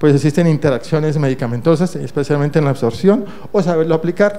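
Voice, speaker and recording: Speaking at a very fast pace, a man has a fairly high pitch. His pitch variation is ordinary. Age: 60s. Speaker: internal medicine doctor and professor. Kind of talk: conference lecture. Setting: conference stage with audience.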